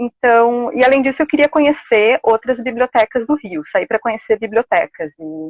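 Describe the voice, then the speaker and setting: A woman speaks at a moderate pace with hardly any pauses, her high pitch moving in lively intonation. The sound is dry and close, with no echo. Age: 30s. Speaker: library science student. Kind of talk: live interview. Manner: casual, with many fillers.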